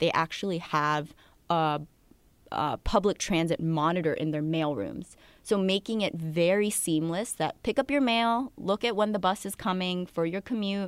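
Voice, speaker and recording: A woman speaks in an ordinary speaking voice, fairly low in pitch, at a moderate pace with ordinary pitch variation. The recording is very clean, with a silent background. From US Northeast, New Jersey and Connecticut near New York City. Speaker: financial journalist. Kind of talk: casual chat.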